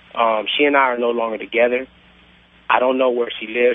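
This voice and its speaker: A man with a medium-pitched voice talks in a flat monotone over noticeable background noise. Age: 20s. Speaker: caller. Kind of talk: phone-in call. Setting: phone call.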